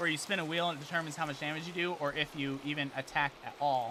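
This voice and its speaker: A man speaks loudly with an American accent and an animated tone. His pace is fairly quick. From United States. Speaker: gaming streamer. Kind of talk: casual live-stream chat.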